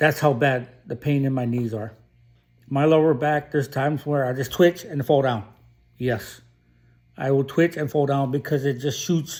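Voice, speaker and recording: This is a plain, everyday voice: a man with fairly high pitch and fairly even intonation, speaking at a moderate pace. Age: 50s. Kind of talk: personal vlog monologue. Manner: casual, with many fillers and repetitions.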